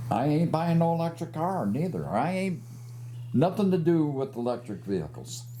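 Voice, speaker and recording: A man speaks with lively intonation at a fairly high pitch. His moderate pace carries audible room echo. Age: 70s. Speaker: motorcycle rights advocate. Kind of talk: casual interview.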